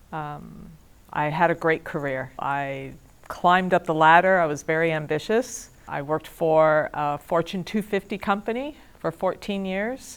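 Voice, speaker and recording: A woman at a fairly slow pace, fairly low in pitch with ordinary pitch variation, a normal speaking voice. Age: 50s. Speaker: student. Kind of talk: testimony.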